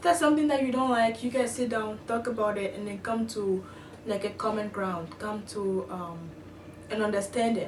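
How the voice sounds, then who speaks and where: Through audible room echo and noticeable background noise, a woman with a non-native accent talks at a medium pitch with ordinary pitch variation. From outside the US. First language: not English. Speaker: international student vlogger. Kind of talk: casual vlog. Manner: hesitant, many fillers.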